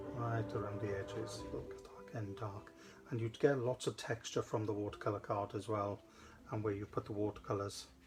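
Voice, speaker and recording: Music plays in the background as a man with a Welsh accent speaks at a fairly low pitch. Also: fairly even intonation, moderate pace. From South Wales. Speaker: craft demonstrator. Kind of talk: live craft tutorial. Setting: studio livestream. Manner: casual, chatty.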